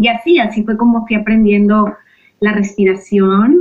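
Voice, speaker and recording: Spoken with a Mexican accent, the delivery is fairly slow with monotone, flat intonation. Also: woman. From Mexico. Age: 40s. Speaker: yoga and meditation teacher, aromatherapy coach. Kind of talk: interview conversation.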